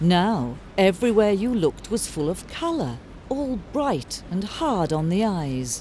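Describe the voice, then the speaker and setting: With a British accent, a woman speaks fairly slowly at a medium pitch, her pitch swinging very widely. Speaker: narrator. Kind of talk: fairy tale narration.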